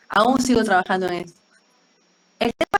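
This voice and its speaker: The fairly quick speech has a dry, close sound with no echo. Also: woman. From Peru. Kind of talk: group discussion sharing personal experience. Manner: fast.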